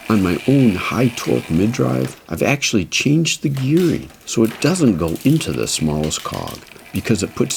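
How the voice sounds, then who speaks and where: With noticeable background noise, the voice moves at a moderate pace through very wide pitch swings, with hardly any pauses. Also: man. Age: 60s. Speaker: e-bike mechanic and reviewer. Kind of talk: talking-head explainer. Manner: casual, conversational.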